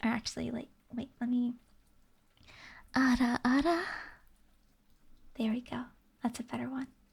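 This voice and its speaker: The delivery runs at a moderate pace broken by long, frequent pauses. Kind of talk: casual talk to camera. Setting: live stream. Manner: soft-spoken, cozy.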